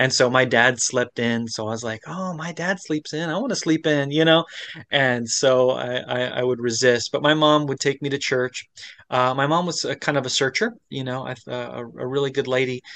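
Here is an unremarkable speaking voice with an American accent, moving at a moderate pace with ordinary pitch variation over a quiet background. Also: man, medium pitch for a man. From Florida. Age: 40s. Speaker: pastor, former Orthodox priest. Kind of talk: interview about faith journey. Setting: remote video interview.

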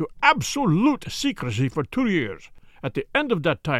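Straightforward, plain reading aloud

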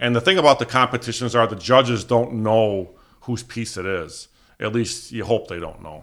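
In an unremarkable speaking voice, a man of medium pitch talks at a moderate pace with ordinary pitch variation and big swings in loudness, on a very clean recording with a silent background. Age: 50s. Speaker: taxidermist. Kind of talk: casual interview. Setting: in-person interview at his home.

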